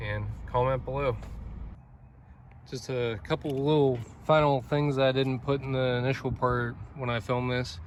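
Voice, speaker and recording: A man keeps a moderate pace and fairly even intonation, with long, frequent pauses. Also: medium pitch for a man. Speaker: car parts maker and reviewer. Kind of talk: car review. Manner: monotone.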